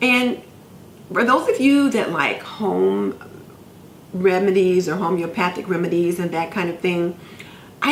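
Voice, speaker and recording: A woman's medium-pitched voice with very wide pitch swings and long, frequent pauses, over noticeable background noise. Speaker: nurse, homemaker vlogger. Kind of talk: casual talk to camera.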